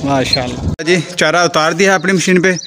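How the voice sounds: At a moderate pace, a man speaks with a fairly bright tone and ordinary pitch variation.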